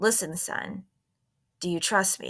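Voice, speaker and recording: A woman puts on a raspy character voice at a medium pitch. The recording is very clean, with a silent background. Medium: read story. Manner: soothing, calm.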